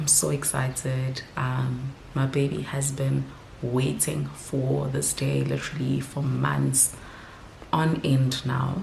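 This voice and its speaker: A woman whispering at a very slow pace amid audible room echo and noticeable background noise. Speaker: vlogger and mother. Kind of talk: casual vlog talk to camera.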